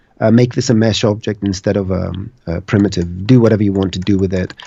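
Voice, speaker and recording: A dark, mellow tone comes through in a Greek accent. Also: man. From Greece. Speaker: 3D animation artist. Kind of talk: live tutorial stream chat.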